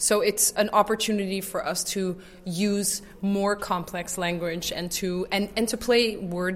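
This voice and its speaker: With an American accent, a woman of medium pitch speaks at a fairly slow pace with fairly even intonation, and noticeable background noise sits behind her. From Netherlands, raised in the US. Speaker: improv actor. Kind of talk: interview.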